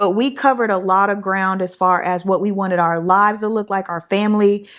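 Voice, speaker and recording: Over a silent background in a very clean recording, a woman with an unremarkable speaking voice and medium pitch speaks at a fairly quick pace with fairly even intonation. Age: 30s. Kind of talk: casual chat.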